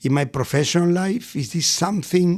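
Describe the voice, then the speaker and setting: Over a silent background in a very clean recording, a man talks with lively intonation at a high pitch. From Argentina, Buenos Aires. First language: Spanish. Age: 60s. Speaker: restaurateur. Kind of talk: podcast interview. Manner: animated storytelling.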